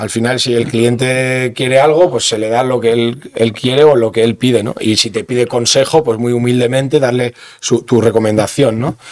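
At a moderate pace and medium pitch, a man speaks with fairly even intonation and hardly any pauses. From Basque Country, Bergara (Gipuzkoa). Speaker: sommelier. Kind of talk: interview. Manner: halting.

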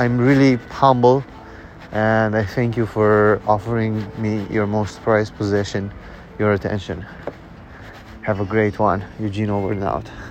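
Amid noticeable background noise, a man speaks at a fairly low pitch and a fairly slow pace, with fairly even intonation and long, frequent pauses. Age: 30s. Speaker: podcast host and entrepreneur. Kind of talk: casual solo monologue. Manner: casual, with filler words.

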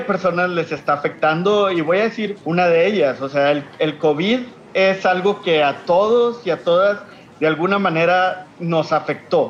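Over noticeable background noise, a man with a strong Monterrey accent speaks very slowly at a high pitch with ordinary pitch variation. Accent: strong northern Mexican (Monterrey). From Mexico, Monterrey, Nuevo León. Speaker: social entrepreneur. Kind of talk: interview. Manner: frequent hesitations and repetitions.

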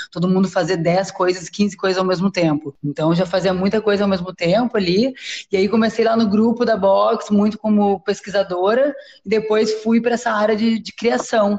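A woman at medium pitch, moderate pace and fairly even intonation. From southern Brazil, Porto Alegre. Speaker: cultural branding agency co-founder. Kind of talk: casual interview. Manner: halting, many fillers.

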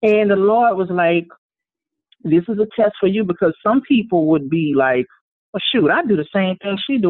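A moderate pace in a Louisiana accent. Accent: Louisiana Southern. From New Orleans, Louisiana. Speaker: multi-talented artist. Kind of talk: casual interview chat. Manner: animated, humorous.

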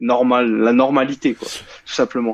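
A man of medium pitch speaks fairly slowly in a dry, close sound with no echo and a quiet background. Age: 20s. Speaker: bodybuilding and nutrition enthusiast. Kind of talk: casual chat. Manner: halting.

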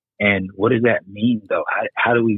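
An ordinary speaking voice belongs to a man with an American accent. He talks at a moderate pace in a medium pitch. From United States. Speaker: podcast guest. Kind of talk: casual chat.

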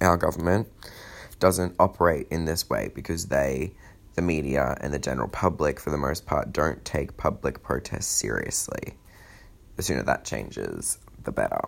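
With an Australian accent, the speaker shows vocal fry and ordinary pitch variation. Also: man, very deep, low pitch for a man, moderate pace. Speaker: political commentator. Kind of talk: scripted monologue.

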